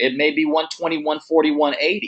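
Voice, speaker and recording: Here a man speaks in a fairly high pitch. His pace is moderate, with ordinary pitch variation. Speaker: real estate coach. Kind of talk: coaching call presentation. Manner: loud, passionate.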